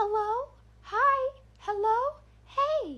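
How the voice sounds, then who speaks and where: This is a put-on character voice, squeaky and extremely high. The pitch sits at the very top of the range. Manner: eerie, creepy.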